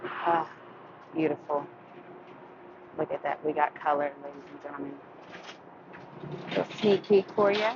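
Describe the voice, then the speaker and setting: Against noticeable background noise, a woman with an American accent and a very deep, low pitch speaks with long, frequent pauses, big swings in loudness and ordinary pitch variation. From West Texas. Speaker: auto body painter, shop owner. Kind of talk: casual shop vlog chat.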